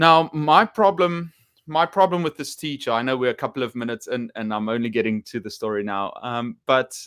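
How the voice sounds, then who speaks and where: A man's voice with very wide pitch swings, on a very clean recording with a silent background and a dry, close sound with no echo. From South Africa, Potchefstroom. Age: 30s. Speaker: teacher and video creator. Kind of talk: personal storytelling monologue. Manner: hesitant with many fillers and repetitions.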